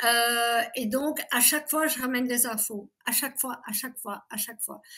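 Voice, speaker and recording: In a very clean recording with a silent background, a woman speaks at a fairly slow pace with a high pitch and a bright, sharp tone. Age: 60s. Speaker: abuse survivor giving testimony. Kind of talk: interview testimony.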